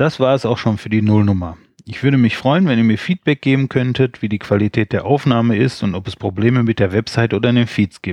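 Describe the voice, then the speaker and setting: In a normal speaking voice with ordinary pitch variation, the speaker goes at a fairly quick pace with hardly any pauses over a quiet background. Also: man, medium pitch for a man. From Rhineland, Germany. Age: 40s. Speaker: podcaster. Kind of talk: solo podcast intro monologue.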